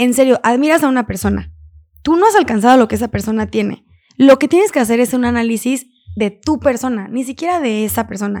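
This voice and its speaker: In a very clean recording with a silent background, a woman talks at a very fast pace. Her pitch is high, with ordinary variation. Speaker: entrepreneur and podcaster. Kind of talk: casual interview. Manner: talkative.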